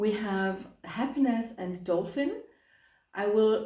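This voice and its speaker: A dark, mellow tone in a German accent, with ordinary pitch variation and audible room echo. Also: woman. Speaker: tarot reader. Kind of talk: tarot reading to camera. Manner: hesitant, many fillers.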